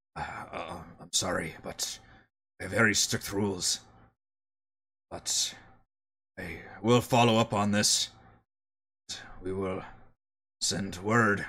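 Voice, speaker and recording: In a put-on character voice, a man speaks raspy and fairly low, at a very slow pace with long, frequent pauses. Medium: actual play. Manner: terse, clipped sentences.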